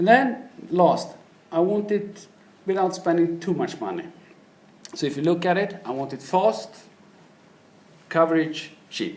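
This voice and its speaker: Over noticeable background noise, a man with a Swedish accent speaks in a fairly high pitch. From Sweden. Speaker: business manager. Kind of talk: keynote presentation.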